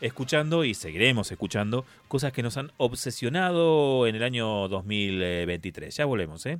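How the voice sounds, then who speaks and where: This man's pitch swings very widely. He keeps to a moderate pace. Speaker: radio host. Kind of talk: casual chat.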